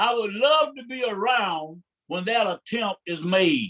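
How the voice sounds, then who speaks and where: A dry, close sound with no echo, carrying lively intonation. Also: man. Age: 70s. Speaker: civil rights activist. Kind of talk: interview. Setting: live show. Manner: halting, repeats words; impassioned.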